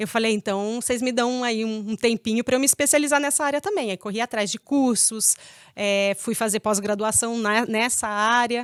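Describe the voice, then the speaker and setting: Fairly high-pitched woman at a moderate pace with fairly even intonation, in a very clean recording with a silent background and a dry, close sound with no echo. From Paraná, Brazil, raised partly in Pirassununga, São Paulo. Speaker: veterinarian. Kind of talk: interview.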